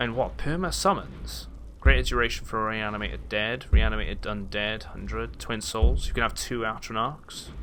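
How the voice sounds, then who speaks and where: At a moderate pace, a man talks with audible room echo around his voice. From Wales. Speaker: gaming streamer. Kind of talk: live gameplay commentary. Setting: livestream. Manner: casual, hesitant with fillers.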